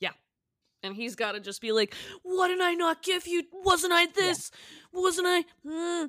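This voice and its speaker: With an American accent, a woman speaks in a raised, projected voice at an extremely high pitch, her tone bright and sharp and her intonation lively. She keeps a moderate pace with long, frequent pauses, and the sound is dry and close with no echo. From Massachusetts. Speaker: podcast host. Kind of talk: casual chat.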